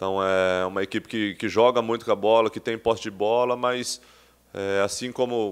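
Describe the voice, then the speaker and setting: Here a man talks at a moderate pace and a fairly low pitch. His intonation is flat and monotone. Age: 30s. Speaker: professional football player. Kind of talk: press conference interview. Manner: halting, many repetitions and fillers. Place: meeting room. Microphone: podium.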